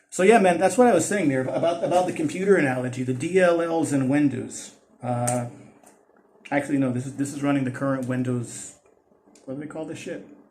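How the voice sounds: Room echo is audible as a man talks at a fairly quick pace. His medium-pitched voice has a slightly mellow tone and ordinary pitch variation.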